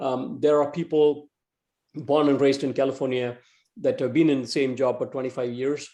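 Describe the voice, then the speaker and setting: Speaking at a fairly quick pace, a man with an Indian accent has a dark, mellow tone. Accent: East Indian. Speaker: entrepreneur and tech executive. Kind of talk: talk to a club meeting. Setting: video call. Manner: fast; halting, many fillers and repeats.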